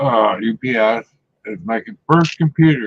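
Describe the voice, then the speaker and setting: This man's speech has ordinary pitch variation and a dry, close sound with no echo. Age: 60s. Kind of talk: casual chat.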